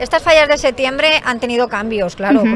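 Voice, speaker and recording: A woman is talking. Behind her, background noise is noticeable. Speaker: interviewer. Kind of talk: interview questions.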